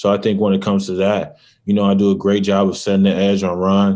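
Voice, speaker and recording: Speaking at a fairly quick pace, a man with an American accent has a fairly low pitch. The recording is very clean, with a silent background. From Michigan, US Midwest. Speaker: college football player. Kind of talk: interview.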